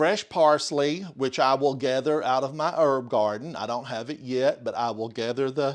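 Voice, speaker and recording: Recorded very cleanly with a silent background, a man speaks at a moderate pace with an Appalachian accent. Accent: Smoky Mountain (Appalachian). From US South, Smoky Mountains of Western North Carolina. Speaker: home cooking streamer. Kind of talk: live cooking stream. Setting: home kitchen, live stream. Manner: casual, chatty with fillers.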